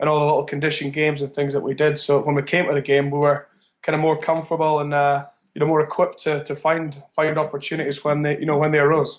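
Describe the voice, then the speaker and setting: A man with a Scottish accent, a fairly high pitch, a very fast pace and flat, monotone intonation. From Edinburgh, Scotland. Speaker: rugby coach. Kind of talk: interview answer.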